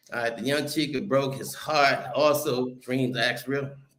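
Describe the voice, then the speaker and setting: Audible room echo surrounds a man speaking at a moderate pace in an animated tone. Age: 60s. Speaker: travel content creator. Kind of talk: casual chat. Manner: animated, heated.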